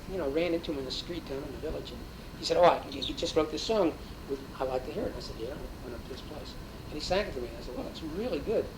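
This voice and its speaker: A man talks at a very fast pace with lively intonation and a fairly high pitch. His loudness swings widely, and audible room echo surrounds him. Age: 60s. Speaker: interviewee, folk music scene figure. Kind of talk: interview. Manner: hesitant with fillers.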